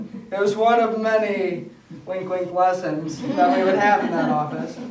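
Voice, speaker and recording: A man with a high voice talks fairly slowly while noticeable background noise carries on. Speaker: photography business owner. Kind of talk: speech to an audience.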